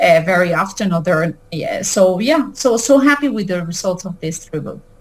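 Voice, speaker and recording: A moderate pace in a Spanish accent. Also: woman. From Mexico and Venezuela. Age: 40s. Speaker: author. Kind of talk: interview. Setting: video call. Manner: halting.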